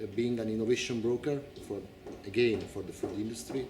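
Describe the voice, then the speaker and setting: A man talks at a fairly quick pace with a fairly low pitch. Audible room echo and noticeable background noise are present. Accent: Italian. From Italy. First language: Italian. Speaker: incoming director of an organic farming association. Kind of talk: interview.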